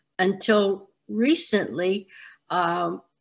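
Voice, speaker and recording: With a bright, sharp tone, a woman is speaking. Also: quiet background. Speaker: interviewee. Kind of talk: interview answer. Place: home room. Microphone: video call.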